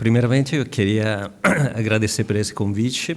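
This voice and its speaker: A man with an Italian accent. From Italy. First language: Italian (speaking Portuguese). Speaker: legal expert panelist. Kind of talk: conference panel presentation. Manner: hesitant, many filler sounds.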